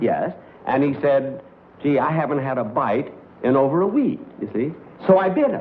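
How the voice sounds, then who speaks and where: A man speaks with ordinary pitch variation and long, frequent pauses. Noticeable background noise runs throughout. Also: moderate pace. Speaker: comedian. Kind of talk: stand-up joke telling. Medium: stage.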